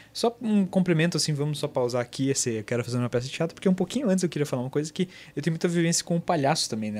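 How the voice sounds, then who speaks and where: This is a man speaking. His intonation is lively. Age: 20s. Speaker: podcast host and mentor. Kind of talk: casual personal monologue. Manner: halting, many fillers.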